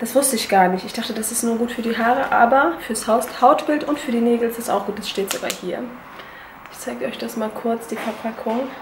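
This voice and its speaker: Over noticeable background noise, a woman speaks at a fairly quick pace with ordinary pitch variation and big swings in loudness. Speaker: beauty vlogger. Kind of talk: casual vlog product review. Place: kitchen. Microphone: phone near.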